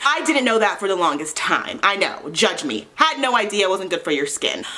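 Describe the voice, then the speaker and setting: A woman's medium-pitched voice with very wide pitch swings amid noticeable background noise. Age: 20s. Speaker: beauty vlogger. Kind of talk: casual chat.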